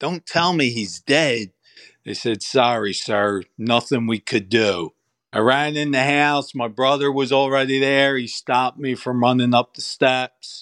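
Heard dry and close with no echo on a very clean recording with a silent background, an ordinary speaking voice with an American accent goes at a fairly slow pace with ordinary pitch variation. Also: man, medium pitch for a man. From Philadelphia, Pennsylvania. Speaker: activist, bereaved parent. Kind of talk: interview.

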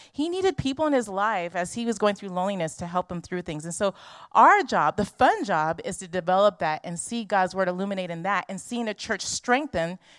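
A woman talks with an American accent. The sound is dry and close with no echo, on a very clean recording with a silent background. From Los Angeles. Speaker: missionary. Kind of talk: church presentation. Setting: church.

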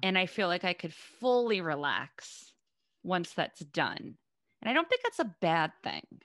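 With an American accent, a woman talks in an unremarkable speaking voice at medium pitch, her intonation lively. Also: fairly slow pace, dry, close sound with no echo, quiet background. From Boston, US. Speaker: comedian. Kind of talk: casual chat.

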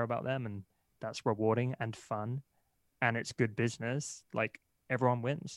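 Recorded very cleanly against a silent background, the voice has fairly even intonation and a dry, close sound with no echo. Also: man. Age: 30s. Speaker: entrepreneur and marketer. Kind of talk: interview.

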